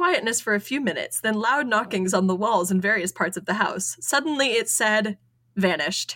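The voice reads naturally. Its pitch moves in a lively way.

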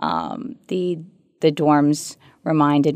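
A woman with an American accent speaks in a very deep, low pitch. Her intonation is fairly even, and the background is quiet. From New York, Queens and Long Island. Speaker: attorney. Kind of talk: interview. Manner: hesitant, many fillers.

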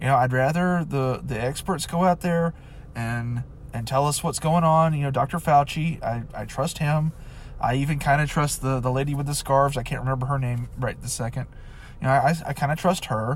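This man's voice is somewhat breathy, moving at a fairly quick pace and keeping a fairly even intonation. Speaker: podcaster. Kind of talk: casual monologue. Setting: in a car. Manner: halting, many fillers.

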